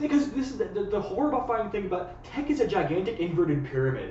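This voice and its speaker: Noticeable background noise and audible room echo surround a man talking at a very fast pace. His pitch swings very widely. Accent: Canadian. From United States. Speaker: friend of the host. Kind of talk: casual chat. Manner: fast, stammering with repeated words.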